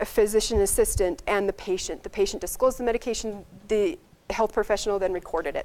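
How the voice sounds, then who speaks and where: A woman talks at a very fast pace. Her voice sits fairly high. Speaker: medical resident presenting research. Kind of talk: conference presentation.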